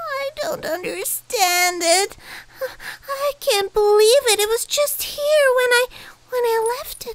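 This cartoonish character voice crawls along at a very slow pace. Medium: puppet. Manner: flustered, stammering.

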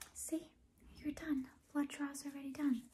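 Soft-spoken and gentle in tone, a woman speaks with a high pitch and a dark, mellow tone. Her intonation is monotone and flat, at a fairly slow pace. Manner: soft, gentle ASMR doctor voice. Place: home room. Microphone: phone near.

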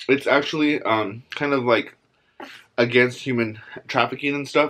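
A man's bright, sharp voice at a moderate pace, fairly even in intonation, over light background noise. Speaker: food vlogger. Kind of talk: casual vlog chat. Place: home room. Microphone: phone near.

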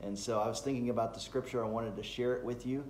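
Light background noise and audible room echo surround a man as he speaks. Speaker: pastor. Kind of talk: devotional talk. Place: home room. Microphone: phone near.

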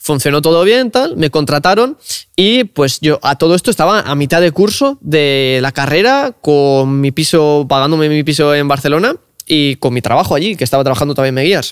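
A man with a fairly high pitch speaks at a moderate pace with lively intonation. The background is quiet. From Cantabria, Spain. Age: 20s. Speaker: car content creator; podcast guest. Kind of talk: casual interview chat. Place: studio. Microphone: studio mic.

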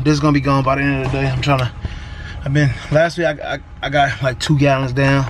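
A man speaks at a very fast pace in a monotone, flat intonation. Noticeable background noise is present. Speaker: delivery driver vlogger. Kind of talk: casual vlog chat. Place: car. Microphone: phone near.

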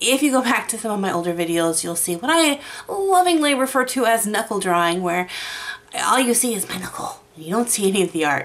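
A woman's pitch swings very widely. She keeps to a moderate pace. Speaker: YouTube art creator. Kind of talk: tutorial. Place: home room. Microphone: studio mic.

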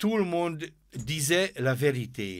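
A man with a Hungarian accent speaks with lively intonation on a very clean recording with a silent background. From Hungary. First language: Hungarian (speaking French). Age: 80s+. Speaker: author and former military officer. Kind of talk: interview. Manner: halting.

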